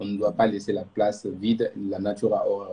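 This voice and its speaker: The voice is somewhat breathy, with a dark, mellow tone and a Malian accent. The pace is fairly quick. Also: man. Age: young. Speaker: youth organization president. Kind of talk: live interview. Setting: Instagram live stream.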